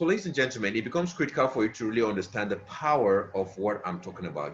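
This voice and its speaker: With a bright, sharp tone and lively intonation, a man speaks at a fairly low pitch. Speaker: motivational speaker. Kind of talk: motivational talk.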